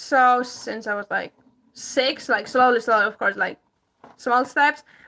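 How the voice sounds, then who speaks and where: At a moderate pace, a woman uses a raised, projected voice with a high pitch, a bright, sharp tone and fairly even intonation, in a very clean recording with a silent background. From Greece. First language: Greek. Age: 20s. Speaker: homesteader. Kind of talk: casual livestream chat. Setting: livestream.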